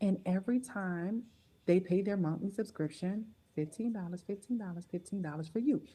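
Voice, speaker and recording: This woman's tone is dark, mellow and somewhat breathy. She talks at a moderate pace, her medium pitch varying in an ordinary way. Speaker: network marketing presenter. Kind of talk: sales pitch.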